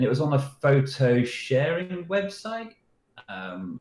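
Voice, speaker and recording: This man speaks. He has a British accent. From Britain. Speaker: security researcher. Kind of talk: interview answers. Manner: casual storytelling.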